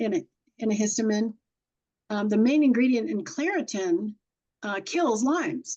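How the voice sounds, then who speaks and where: Against a quiet background, a woman with an American accent speaks at a moderate pace with lively intonation. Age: 70s. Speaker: horse communicator. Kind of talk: podcast interview. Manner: animated.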